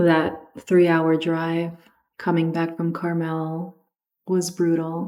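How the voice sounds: A woman talks slowly in a low pitch with a dark, mellow tone. Her intonation is monotone and flat.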